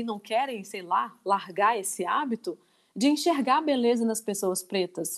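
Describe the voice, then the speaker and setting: A woman's high voice with very wide pitch swings, in a very clean recording with a silent background. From Minas Gerais, Brazil (Divinópolis). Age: 30s. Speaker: lingerie entrepreneur. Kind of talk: interview discussion. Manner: halting, many repetitions.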